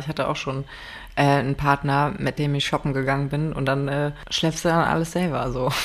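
A woman's very deep, low voice at a fairly quick pace with monotone, flat intonation. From Rhineland, Germany. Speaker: podcast co-host. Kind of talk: casual chat.

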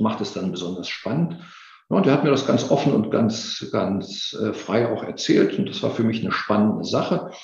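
The room echo is audible. A man's voice comes across as somewhat breathy. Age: 50s. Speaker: occupational safety expert. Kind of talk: interview.

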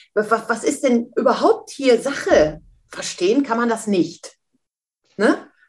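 Speaking very slowly with long, frequent pauses, a woman uses a fairly high pitch and lively intonation. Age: 50s. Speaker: mentor and speaker. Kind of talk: interview.

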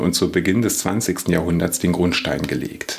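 With noticeable background noise behind him, a man speaks at a moderate pace in a very deep, low pitch with lively intonation. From Lower Rhine, western Germany. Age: 40s. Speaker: historian and podcast host. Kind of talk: scripted narration.

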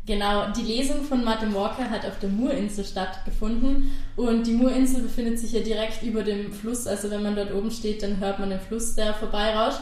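With hardly any pauses and fairly even intonation, the voice comes through audible room echo and noticeable background noise. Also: woman, fairly high pitch for a woman. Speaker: podcast host and interviewer. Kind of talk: interview. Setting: outdoors by a river.

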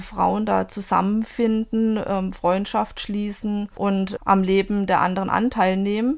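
A woman with an unremarkable speaking voice talks at a medium pitch and a fairly slow pace, keeping her intonation fairly even. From southwestern Germany. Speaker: book blogger. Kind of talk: interview. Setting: remote recording.

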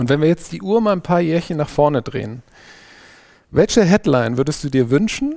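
With lively intonation, a man speaks in a Saarland accent. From Saarland, Germany (Saarbrücken). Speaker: podcast host. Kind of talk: interview.

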